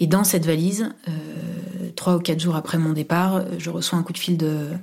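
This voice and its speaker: In a dark, mellow tone and very deep, low pitch, a woman speaks at a moderate pace with fairly even intonation. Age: 30s. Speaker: university administrator. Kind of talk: personal testimony. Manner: halting, many fillers.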